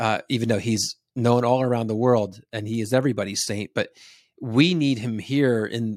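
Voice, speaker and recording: A man with an American accent talks at a moderate pace in a normal speaking voice, medium in pitch with ordinary variation. The recording is very clean, dry and close, with no echo and a silent background. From US Northeast, New Jersey. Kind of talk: casual interview.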